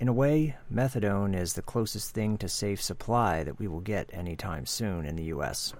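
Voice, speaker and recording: Lively intonation and a moderate pace mark this man's delivery, a plain, everyday voice. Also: fairly low pitch for a man, hardly any pauses. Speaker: co-producer and intro reader. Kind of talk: scripted intro and outro.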